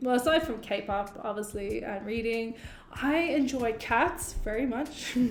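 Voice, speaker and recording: The speaker has an Irish accent and talks very slowly with ordinary pitch variation, and audible room echo can be heard. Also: woman. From Ireland. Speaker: YouTube co-host. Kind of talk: casual chat.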